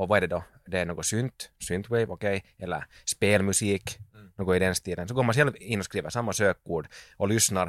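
In a very clean recording with a silent background, a man's very deep, low voice comes through dry and close, with no echo. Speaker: musician and sound engineer. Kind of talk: casual chat.

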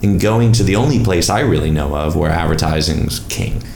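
An American accent at a moderate pace with very wide pitch swings, plus audible room echo and noticeable background noise. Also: man. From US Northeast, Long Island. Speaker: advertising strategist. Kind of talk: casual chat. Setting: at home.

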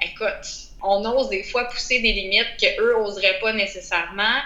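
A woman speaks at a fairly slow pace with a fairly high pitch, over noticeable background noise. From Quebec, Outaouais (Gatineau). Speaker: nurse and wellness entrepreneur. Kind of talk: interview.

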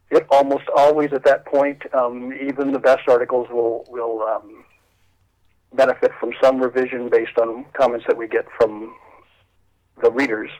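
The speaker has a Midwestern American accent. The intonation is monotone and flat. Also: man, medium pitch for a man, moderate pace. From northwestern Ohio. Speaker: history journal editor. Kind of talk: interview.

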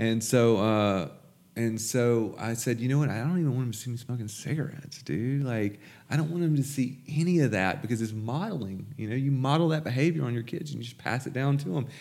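A man speaks at a fairly quick pace with a Mississippi accent. His pitch varies in an ordinary way, and the room echo is audible. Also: medium pitch for a man. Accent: Southern US (Mississippi). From US South, Jackson, Mississippi. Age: 20s. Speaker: recovering addict sharing his story. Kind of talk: testimony.

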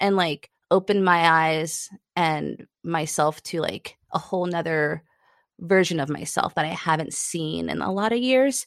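Recorded dry and close with no echo against a quiet background, a woman with a fairly low pitch speaks fairly slowly in a plain, everyday voice with ordinary pitch variation. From New York. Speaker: climbing guide. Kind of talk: casual chat.

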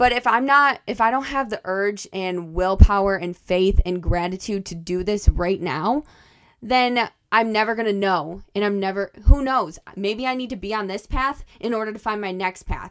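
A woman with a plain, everyday voice and medium pitch shows ordinary pitch variation and big swings in loudness, in a very clean recording with a silent background. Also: moderate pace. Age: 20s. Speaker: podcast host and college student working as a restaurant server. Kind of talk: casual solo monologue.

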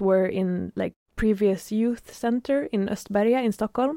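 A woman with a fairly high pitch and a dark, mellow tone speaks at a fairly slow pace, in a dry, close sound with no echo on a very clean recording with a silent background. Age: 30s. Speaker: podcast host and festival curator. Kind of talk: casual chat.

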